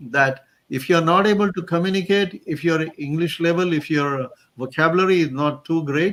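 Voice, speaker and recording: At a moderate pace, the man's voice sits fairly high in pitch. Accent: Marathi. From Maharashtra, India. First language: Marathi. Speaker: career coach. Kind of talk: interview.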